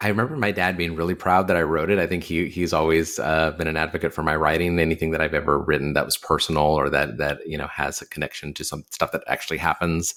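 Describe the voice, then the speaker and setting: Speaking very fast with hardly any pauses, this voice has an American accent and fairly even intonation. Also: man, very deep, low pitch for a man. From Texas. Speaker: journalist. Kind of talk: interview. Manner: halting.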